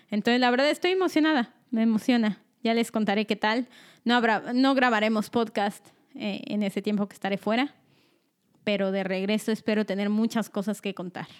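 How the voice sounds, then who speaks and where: This woman has an ordinary speaking voice, fairly high in pitch with ordinary pitch variation. She talks at a fairly quick pace on a very clean recording with a silent background. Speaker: podcast co-host. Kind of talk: casual chat.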